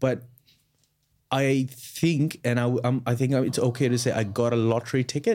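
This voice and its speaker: A man's dark, mellow voice at a medium pitch, moderate in pace, with fairly even intonation and very even loudness. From North India. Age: 20s. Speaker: podcast co-host. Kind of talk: casual chat. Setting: studio.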